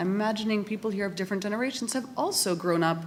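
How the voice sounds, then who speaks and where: Through noticeable background noise, a woman with a Canadian accent talks at a very fast pace, her fairly high pitch making very wide swings. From Canada. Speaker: academic respondent at a conference. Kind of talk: panel debate response.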